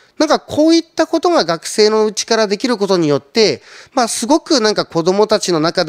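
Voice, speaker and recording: A man speaks at a moderate pace with a high pitch and very wide pitch swings. The background is quiet. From Shizuoka, Japan. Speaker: trading company representative. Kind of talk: conference talk. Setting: online seminar. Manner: polite, filler-heavy. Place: studio. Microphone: handheld.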